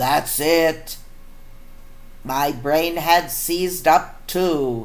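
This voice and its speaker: Using a put-on character voice, a woman speaks very slowly at a very deep, low pitch. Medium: read story. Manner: mopey then cheerful.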